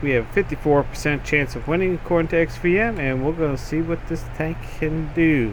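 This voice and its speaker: A man speaks at a fairly high pitch with ordinary pitch variation. Noticeable background noise runs behind him. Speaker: gaming channel host. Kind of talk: video game review and commentary. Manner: casual, hesitant with fillers.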